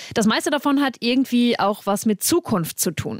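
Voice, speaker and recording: Dry and close with no echo, a woman talks with an ordinary speaking voice and lively intonation. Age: 20s. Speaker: radio trainee, podcast co-host. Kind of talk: podcast intro.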